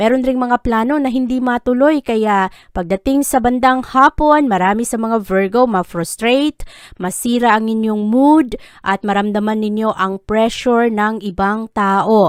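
A woman with an ordinary speaking voice talks fairly slowly at a fairly high pitch, with ordinary pitch variation. The sound is dry and close with no echo, and the recording is very clean with a silent background. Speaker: horoscope reader. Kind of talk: scripted narration.

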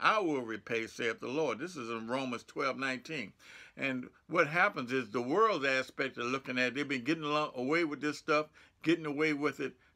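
A man with an American accent speaks at a moderate pace, with a fairly high pitch and a bright, sharp tone. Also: ordinary pitch variation, quiet background. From United States. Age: 70s. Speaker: pastor. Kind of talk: sermon. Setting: church. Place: home room. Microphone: phone near.

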